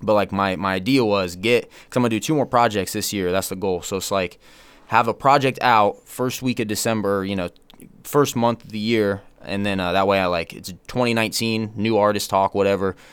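Here a man with an unremarkable speaking voice and fairly low pitch talks at a fairly quick pace. His intonation is fairly even, and the recording is very clean with a silent background. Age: 20s. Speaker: fitness YouTuber and rapper. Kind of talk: casual chat.

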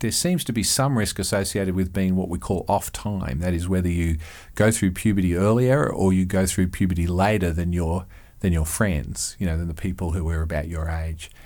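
This man has a very deep, low voice and an Australian accent, speaking at a moderate pace. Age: 50s. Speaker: psychology professor. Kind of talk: interview. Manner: repeats words, hesitant.

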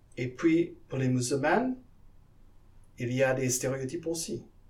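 A man's medium-pitched voice, very slow, with fairly even intonation. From Guyana, South America. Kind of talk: interview. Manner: halting, with repetitions.

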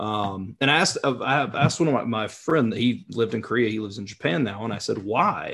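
With an unremarkable speaking voice, a man talks at a moderate pace in a medium pitch with ordinary pitch variation. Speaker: language learner, content creator. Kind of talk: casual chat.

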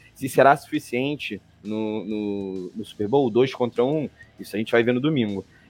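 Music plays in the background as a man of medium pitch speaks at a moderate pace. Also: ordinary pitch variation. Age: 20s. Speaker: NFL podcast panelist, Bengals fan. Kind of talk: sports analysis chat.

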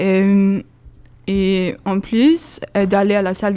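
A woman's medium-pitched voice in a Swedish accent. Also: very clean recording, silent background. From Sweden. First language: Swedish (speaking French). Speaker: student volunteer. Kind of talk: casual radio chat.

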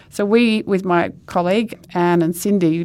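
Speaking with an Australian accent, a woman uses a fairly low pitch and fairly even intonation at a moderate pace. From Western Australia, Perth. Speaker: professor. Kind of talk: interview.

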